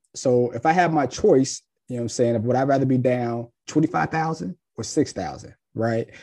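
A man with an American accent speaks at a fairly slow pace in a medium pitch with ordinary variation. His tone is dark and mellow against a quiet background. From Ohio, US (Cincinnati). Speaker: financial planner and firm owner. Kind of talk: podcast interview.

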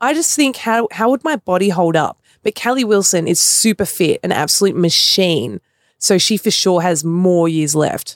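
Lively intonation and very even loudness in an Australian accent, with a dry, close sound and no echo. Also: woman, medium pitch for a woman, moderate pace. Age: 20s. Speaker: professional basketball player. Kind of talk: casual sports chat.

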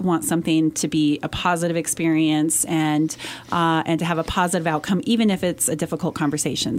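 A woman with an American accent talks at a fairly quick pace. She has a plain, everyday voice pitched fairly low. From Colorado, Western Slope (Montrose). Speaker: company CEO. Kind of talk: interview. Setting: radio studio.

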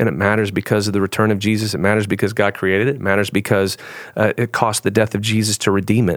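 Very fast and fairly low-pitched, a man speaks in a flat monotone at very even loudness, recorded dry and close with no echo on a very clean track with a silent background. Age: 50s. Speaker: pastor. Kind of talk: casual chat. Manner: halting.

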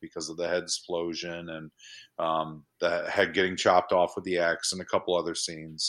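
The tone is bright and sharp, the pace fairly quick, and the recording very clean with a silent background. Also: man. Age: 40s. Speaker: horror filmmaker. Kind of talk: casual chat.

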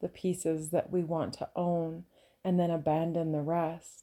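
A woman speaks with a calm, relaxed tone. Her voice is fairly low-pitched, dark and mellow. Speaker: podcast host and women's soul coach. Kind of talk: reflective monologue. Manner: calm and relaxed; slow.

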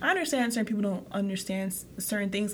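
Noticeable background noise sits behind this woman. She talks at a very fast pace with a medium pitch and fairly even intonation. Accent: American. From Haiti, raised in the US from a young age. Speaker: podcast co-host. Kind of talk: casual chat.

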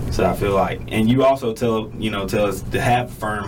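There is noticeable noise in the background. The room echo is audible too. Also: man. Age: 20s. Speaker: university student and roper. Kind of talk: casual interview chat.

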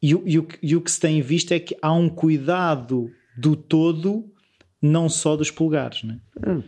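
With a normal speaking voice, a man of fairly high pitch talks at a moderate pace with ordinary pitch variation. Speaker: podcast host. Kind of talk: interview conversation.

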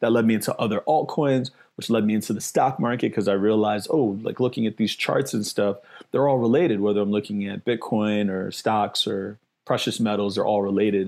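A man with a New York accent talks at a fairly quick pace in a fairly low voice. His intonation is fairly even, and the background is quiet. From New York City, the Bronx. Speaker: investing educator, former DJ. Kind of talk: interview.

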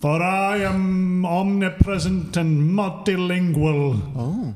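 Over light background noise, a man does a put-on character voice at a high pitch and a very slow pace. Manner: grandiose, pompous.

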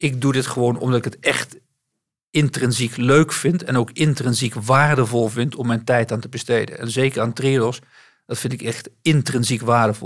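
A man talks at a moderate pace in a normal speaking voice. The recording is very clean, with a silent background. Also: medium pitch for a man. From West-Brabant, Netherlands. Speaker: bank CEO. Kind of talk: interview.

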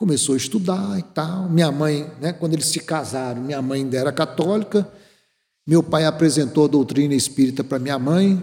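A man talks with a fairly high pitch, ordinary pitch variation and a dark, mellow tone. His voice is somewhat breathy. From Brazil, moved around; mostly Brasília. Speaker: spiritist lecturer. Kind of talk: lecture. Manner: conversational, frequent filler tags.

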